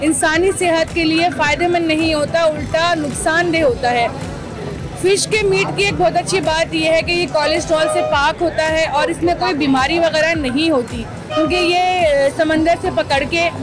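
Over clear music in the background, a woman speaks at a fairly slow pace in a dry sound with no echo. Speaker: news reporter. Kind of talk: news report to camera. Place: shop. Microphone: handheld.

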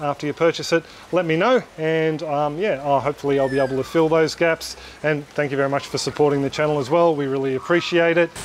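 A man with an Australian accent at a very fast pace, dry sound with no echo, light background noise. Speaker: YouTube aquaponics educator. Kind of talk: product walkthrough tutorial. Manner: casual, friendly. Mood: friendly, thankful. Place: garden. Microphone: phone near.

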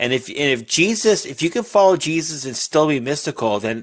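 Against a quiet background, a man talks at a moderate pace with lively intonation. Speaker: livestream participant; guest. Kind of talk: casual chat. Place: home room.

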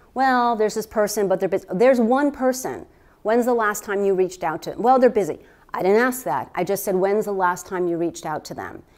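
Lively intonation runs through speech delivered at a fairly quick pace. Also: woman, quiet background. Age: 50s. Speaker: healthcare practitioner and therapist; presenter. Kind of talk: workshop talk to a live audience. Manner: conversational, with fillers. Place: meeting room.

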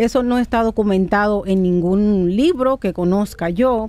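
A woman's medium-pitched voice, dark and mellow in tone, with ordinary pitch variation. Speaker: rheumatologist. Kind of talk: radio interview, medical advice.

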